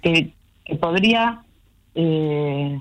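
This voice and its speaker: A woman's voice with a Rioplatense accent and ordinary pitch variation. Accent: Argentine Rioplatense Spanish. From Argentina, southern Santa Fe province. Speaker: academic researcher and writer. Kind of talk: casual interview.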